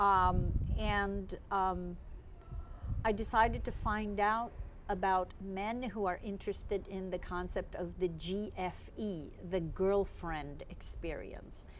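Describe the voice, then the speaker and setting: A very slow pace with audible room echo. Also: woman. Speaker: psychotherapist and sex researcher. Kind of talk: interview. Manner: loud.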